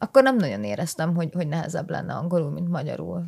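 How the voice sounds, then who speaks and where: Speech from a woman, recorded very cleanly against total silence. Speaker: biology PhD student. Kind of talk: casual chat.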